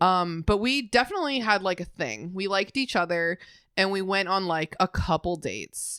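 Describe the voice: The speaker simply reads the text aloud in a plain manner.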